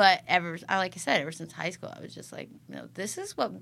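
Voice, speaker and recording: A woman speaks fairly quickly in a fairly low pitch with vocal fry. Her tone is bright and sharp. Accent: American. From US Midwest (Iowa/Illinois). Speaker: rock musician, bandleader. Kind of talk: casual interview chat.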